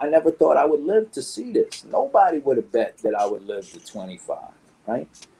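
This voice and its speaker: A man is speaking. He has a New York accent. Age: 50s. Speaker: graffiti artist. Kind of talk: interview. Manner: animated.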